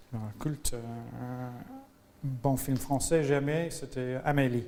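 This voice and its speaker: With an English accent, a man talks at a very slow pace and with fairly even intonation. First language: English (speaking French). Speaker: interviewee. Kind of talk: interview. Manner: halting, many hesitations.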